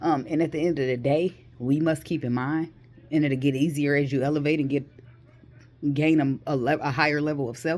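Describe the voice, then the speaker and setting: A woman with a very deep, low pitch speaks in an animated tone at a fairly quick pace. Her pauses are long and frequent. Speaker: vlogger. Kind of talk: casual monologue. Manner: fast.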